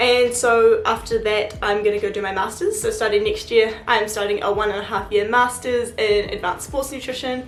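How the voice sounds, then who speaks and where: A woman with a New Zealand accent speaks at a moderate pace and fairly high pitch, with fairly even intonation and hardly any pauses. Noticeable background noise and audible room echo are present. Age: 20s. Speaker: student vlogger. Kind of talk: casual vlog Q&A.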